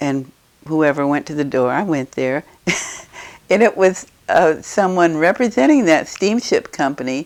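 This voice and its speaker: A woman with an American accent has a very deep, low pitch and lively intonation. She keeps a moderate pace and takes long, frequent pauses. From Eureka, Illinois, USA. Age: 80s+. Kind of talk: interview answer.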